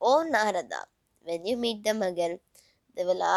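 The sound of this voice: Quiet surroundings frame a reading voice that sounds unforced, its intonation lively.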